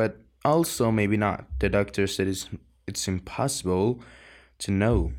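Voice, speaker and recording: On a very clean recording with a silent background, a man with a fairly low pitch and lively intonation speaks at a fairly slow pace with long, frequent pauses. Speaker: audiobook reader. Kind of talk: audiobook reading, dramatic first-person narration of a teen's voice.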